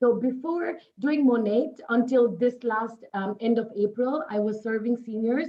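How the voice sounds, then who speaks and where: This woman talks at a moderate pace with a fairly high pitch, ordinary pitch variation and a Nepali accent. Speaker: network marketing distributor. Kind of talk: interview.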